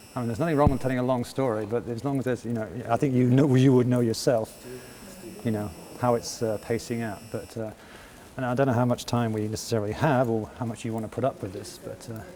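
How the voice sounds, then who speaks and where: A man with a medium-pitched voice and fairly even intonation talks very fast, with noticeable background noise behind him. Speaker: interviewer. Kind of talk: interview. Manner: soft-spoken; halting.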